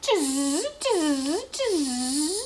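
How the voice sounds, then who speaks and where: A squeaky, high-pitched put-on character voice amid clear background noise. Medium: read story.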